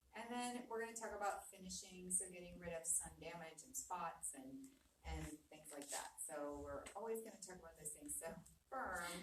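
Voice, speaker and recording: With audible room echo around her, a woman speaks at a fairly low pitch and a moderate pace, using lively intonation. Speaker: aesthetic doctor. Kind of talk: live webinar presentation. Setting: video call. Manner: soft-spoken; casual.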